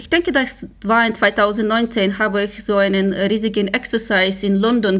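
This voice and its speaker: A woman with an unremarkable speaking voice at medium pitch, moderate pace, fairly even intonation, and hardly any pauses. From Ukraine. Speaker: security researcher. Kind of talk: interview.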